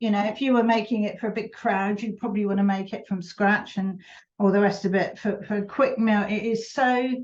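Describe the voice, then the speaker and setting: A woman with a fairly high pitch speaks at a moderate pace. Her voice is somewhat breathy and her intonation fairly even. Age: 70s. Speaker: preserving teacher. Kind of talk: cooking tutorial. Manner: casual, chatty.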